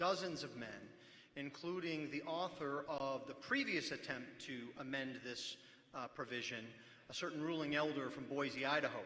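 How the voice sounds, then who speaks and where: Amid audible room echo and noticeable background noise, a man talks at a moderate pace with fairly even intonation. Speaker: pastor speaking at church assembly. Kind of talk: formal debate speech. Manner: formal; raised, speaking up.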